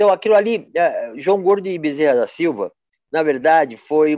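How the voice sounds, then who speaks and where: A man's voice with very wide pitch swings at a moderate pace, in a dry, close sound with no echo and a quiet background. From Brazil, Campinas (São Paulo state). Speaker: photographer. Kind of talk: casual interview. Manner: halting, with many repetitions and fillers.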